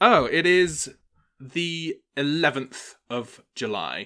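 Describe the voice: In a very clean recording with a silent background, a man talks slowly at a fairly high pitch with a bright, sharp tone. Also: lively intonation.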